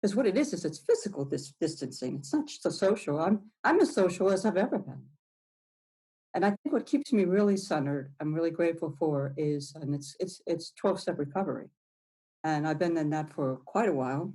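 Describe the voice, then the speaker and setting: A woman's fairly low, somewhat breathy voice with a dark, mellow tone and lively intonation. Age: 60s. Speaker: recovering addict, weather satellite worker. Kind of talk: interview. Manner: halting.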